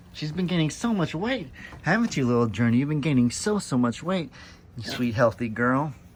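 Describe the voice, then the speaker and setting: A fairly high-pitched man at a fairly quick pace, with very wide pitch swings. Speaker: farming vlogger. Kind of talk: casual vlog Q&A. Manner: fast outro.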